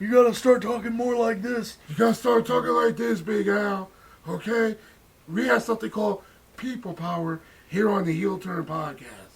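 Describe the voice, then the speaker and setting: A man's put-on character voice, gravelly and raspy, high-pitched, at a moderate pace. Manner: commanding, showy.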